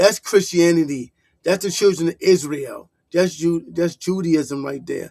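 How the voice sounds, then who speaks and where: This man has a high pitch and a New York accent, with ordinary pitch variation. He talks at a fairly slow pace in a dry, close sound with no echo. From New York City (Harlem). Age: 50s. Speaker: online commentator. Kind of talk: reaction commentary, casual rant. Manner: animated.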